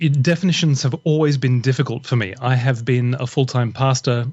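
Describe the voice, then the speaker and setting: The man's voice is somewhat breathy, with ordinary pitch variation. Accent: Australian. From Australia, Brisbane. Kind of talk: podcast interview.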